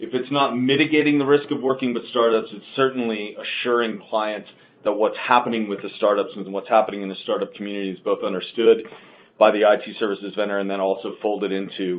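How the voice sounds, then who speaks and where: Male voice at a medium pitch, very fast pace, loudness swinging widely, ordinary pitch variation. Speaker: market research analyst presenting a webinar. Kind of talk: webinar presentation. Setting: online webinar. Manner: hesitant with many fillers.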